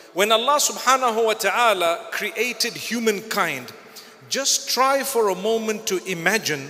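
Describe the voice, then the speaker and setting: Against noticeable background noise, a man raises and projects his high-pitched voice. He keeps a moderate pace with ordinary pitch variation. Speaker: Islamic scholar. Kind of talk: religious lecture to a live audience. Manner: warm, conversational, lightly humorous.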